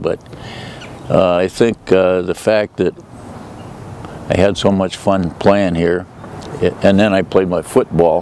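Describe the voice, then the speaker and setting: Fairly slow, monotone, flat speech from a man with an American accent, over noticeable background noise. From Minnesota, US Upper Midwest. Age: 80s+. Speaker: local elder, former athlete. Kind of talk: reminiscing interview. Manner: hesitant, many filler pauses.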